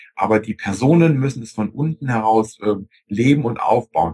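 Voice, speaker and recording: A man's somewhat breathy, medium-pitched voice at a moderate pace, with ordinary pitch variation and a dry, close sound with no echo. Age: 40s. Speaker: IT consultant. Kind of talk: interview.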